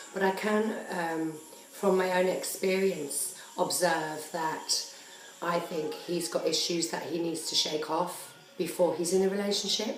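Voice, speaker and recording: Fairly slow and fairly low-pitched, a woman speaks with fairly even intonation amid noticeable background noise and audible room echo. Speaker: dating vlogger and journalist. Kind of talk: casual video blog. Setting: at home. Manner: chatty.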